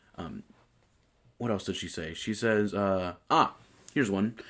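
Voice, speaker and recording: The man talks at a fairly slow pace on a very clean recording with a silent background. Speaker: voice student. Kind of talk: casual video journal. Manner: halting, many fillers.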